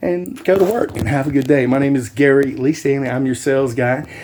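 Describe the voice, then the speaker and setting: A man's lively intonation at a moderate pace over noticeable background noise. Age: 60s. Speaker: YouTuber and realtor. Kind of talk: casual vlog talk. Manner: enthusiastic.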